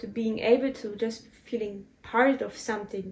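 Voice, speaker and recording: Speaking with a German accent, a woman uses a fairly high pitch and monotone, flat intonation at a moderate pace. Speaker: spiritual podcaster. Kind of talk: personal reflective monologue. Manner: halting.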